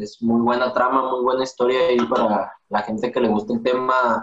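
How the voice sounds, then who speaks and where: At a moderate pace, a man speaks with a Mexican accent. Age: 20s. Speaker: cook. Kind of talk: casual chat.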